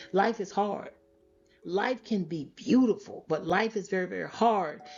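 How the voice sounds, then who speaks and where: Over music in the background, a woman with an American accent speaks at a fairly slow pace. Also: medium pitch for a woman, ordinary pitch variation. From Florida. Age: 60s. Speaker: podcast host and teacher. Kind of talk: podcast monologue.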